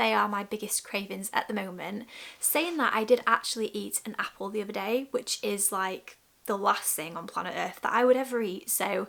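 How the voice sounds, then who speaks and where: A woman with a British accent speaks at a medium pitch and a moderate pace, her tone bright and sharp with vocal fry and ordinary pitch variation, on a very clean recording with a silent background. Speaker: lifestyle vlogger. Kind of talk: casual vlog talk. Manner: pausing often, interrupted by burps.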